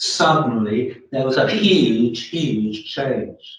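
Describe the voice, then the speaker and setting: A man with an English accent. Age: 70s. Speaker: retired research chemist, group member. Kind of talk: group meeting discussion.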